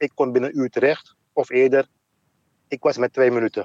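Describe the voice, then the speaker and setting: A man at medium pitch and moderate pace, dry and close with no echo. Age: 50s. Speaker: heart attack survivor. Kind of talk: casual conversation.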